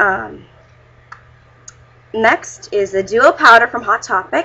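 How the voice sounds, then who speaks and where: A woman at a very slow pace, with vocal fry. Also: fairly high pitch for a woman. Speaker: beauty vlogger. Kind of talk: makeup tutorial review. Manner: casual, filler-heavy.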